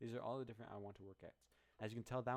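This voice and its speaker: This man talks. His pace is very fast. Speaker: music producer. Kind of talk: tutorial. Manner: halting.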